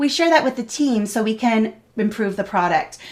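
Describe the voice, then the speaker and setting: Ordinary pitch variation runs through this woman's speech. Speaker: product evangelist, webinar host. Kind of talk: live webinar Q&A. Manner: fast.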